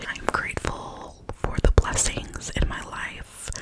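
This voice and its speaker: Over noticeable background noise, a woman whispers in a gentle tone. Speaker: ASMR creator. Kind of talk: ASMR positive affirmations, whispered personal talk to camera. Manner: whispered, soft, gentle.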